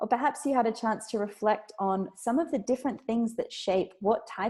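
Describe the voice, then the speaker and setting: A woman with an Australian accent shows ordinary pitch variation. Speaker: food systems researcher and author. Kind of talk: talk or lecture.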